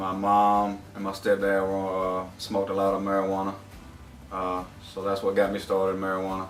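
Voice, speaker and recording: Over music in the background and audible room echo, a flat, monotone voice with a Southern US accent moves at a fairly quick pace. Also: man, fairly low pitch for a man. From South Alabama. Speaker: rehab program graduate. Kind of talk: testimony.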